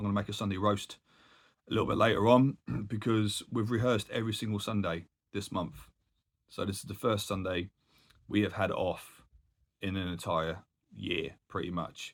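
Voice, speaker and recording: Using a put-on character voice, a man speaks croaky and hoarse at a fairly low pitch and a moderate pace, with fairly even intonation and long, frequent pauses. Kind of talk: casual, chatty.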